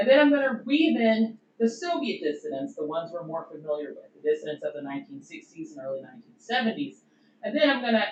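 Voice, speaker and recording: A woman at a very fast pace, her pitch swinging very widely. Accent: Southern US. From US Deep South. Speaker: doctoral researcher, historian. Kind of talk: conference presentation. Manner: casual, conversational.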